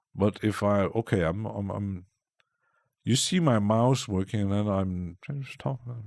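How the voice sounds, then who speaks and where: Putting on a character voice, a man mumbles at a moderate pace, with a fairly low pitch and ordinary pitch variation. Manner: clear, distinct voice, then mumbling.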